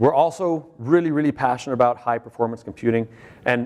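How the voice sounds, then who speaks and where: This man has an ordinary speaking voice, pitched at a medium level with ordinary pitch variation. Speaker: conference speaker, software architect. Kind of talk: conference talk.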